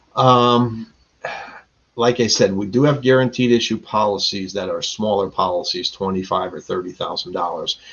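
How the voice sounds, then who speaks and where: Speaking at a moderate pace, a man uses a medium pitch. His pitch varies in an ordinary way. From Connecticut, US (Stratford/Bridgeport). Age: 60s. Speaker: insurance agent. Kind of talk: webinar Q&A talk.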